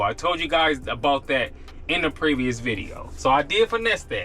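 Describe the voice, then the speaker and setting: Against noticeable background noise, a man talks fairly quickly with very wide pitch swings. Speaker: gig delivery driver vlogger. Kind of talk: casual vlog talk to camera. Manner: normally fast-talking.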